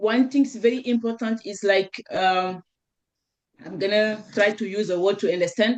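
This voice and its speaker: The pitch variation is ordinary. The speech has a moderate pace. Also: woman. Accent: French. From Senegal. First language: French. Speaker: network marketer. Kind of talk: panel discussion testimony. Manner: halting, searching for words.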